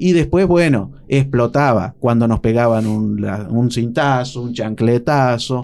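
With an unremarkable speaking voice, a man at a medium pitch talks with hardly any pauses and ordinary pitch variation. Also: fairly slow pace. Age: 40s. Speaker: psychologist. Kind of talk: radio interview.

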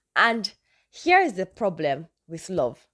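A woman with a northern Nigerian accent speaks in an animated tone in a very clean recording with a silent background. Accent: Nigerian (northern, Hausa). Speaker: podcaster. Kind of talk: casual talk.

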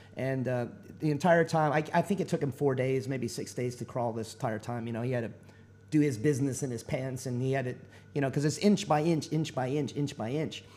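A man's medium-pitched voice with a dark, mellow tone, a Texan accent, a fairly quick pace, and ordinary pitch variation. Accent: Texan American English. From Texas. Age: 40s. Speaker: military veteran, navy corpsman. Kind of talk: interview.

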